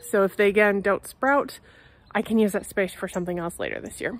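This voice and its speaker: A woman talks at a very fast pace in a dry sound with no echo. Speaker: home gardener vlogger. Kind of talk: casual vlog chat. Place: garden. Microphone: phone near.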